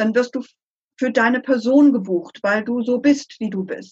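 High female voice, fairly slow in tempo. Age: 60s. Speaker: consultant. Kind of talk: interview.

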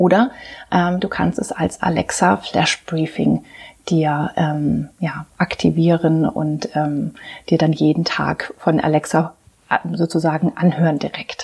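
Her voice is very deep and low for a woman, with vocal fry. She speaks at a very slow pace. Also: ordinary pitch variation. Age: 40s. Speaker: life and leadership coach. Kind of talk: podcast monologue. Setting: home practice rooms, on camera. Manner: hesitant, many fillers.

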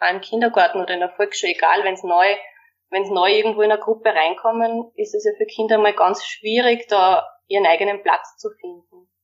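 A woman speaks at a fairly quick pace with medium pitch and ordinary pitch variation. It is an unremarkable speaking voice. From Austria, Waldviertel (Lower Austria). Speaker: primary school teacher. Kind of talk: interview.

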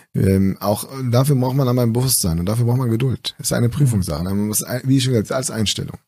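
With an ordinary speaking voice, a man speaks at a fairly quick pace, his medium pitch showing ordinary pitch variation. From northern Germany, East Frisia (Aurich). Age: 30s. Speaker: physician. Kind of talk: casual interview.

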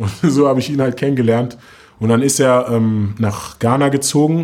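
A man speaks in a normal speaking voice at a medium pitch with fairly even intonation. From Berlin, Germany (Moabit). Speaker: rapper. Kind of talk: interview.

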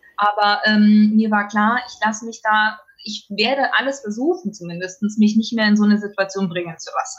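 A woman's fairly high voice at a moderate pace, with ordinary pitch variation and big swings in loudness, over music in the background. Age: 30s. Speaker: biologist returning from parental leave. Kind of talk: interview.

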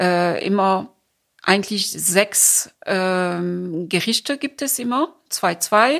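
On a very clean recording with a silent background, a speaker with a French accent talks at a very slow pace with lively intonation. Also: woman, medium pitch for a woman. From France. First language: French (speaking German). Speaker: cultural association founder. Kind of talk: interview.

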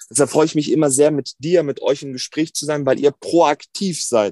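The recording is dry and close with no echo, and a man speaks at a moderate pace. His fairly high voice has a dark, mellow tone and ordinary pitch variation. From Germany, Hannover. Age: 20s. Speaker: politician. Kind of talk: interview.

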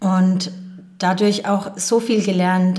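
Her voice carries audible room echo. Noticeable background noise accompanies the woman as she talks. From Rhön, Lower Franconia, Bavaria. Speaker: former volunteer in South Africa. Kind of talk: interview.

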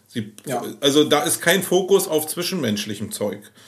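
A man talks at a moderate pace with vocal fry. His intonation is lively. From Berlin. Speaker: agency owner. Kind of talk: casual chat. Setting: in his agency office.

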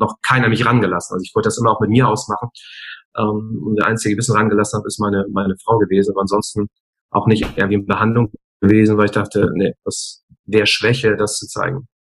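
Talking at a very fast pace, a man with a fairly low pitch sounds somewhat breathy and keeps his intonation fairly even. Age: 40s. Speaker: speaker and coach. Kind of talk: interview. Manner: hesitant fillers.

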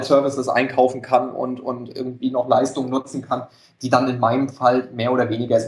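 A man with a medium pitch. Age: 30s. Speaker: entrepreneur with side business. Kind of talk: interview.

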